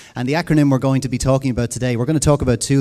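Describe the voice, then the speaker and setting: A man with an Irish accent, medium-pitched, with a dark, mellow tone and fairly even intonation. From Ireland. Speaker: conference speaker on education. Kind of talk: conference presentation.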